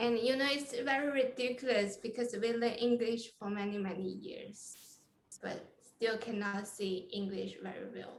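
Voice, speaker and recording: With a non-native accent and fairly high pitch, a woman speaks at a moderate pace amid audible room echo. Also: ordinary pitch variation. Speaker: coding interview coach. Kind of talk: casual chat. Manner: halting.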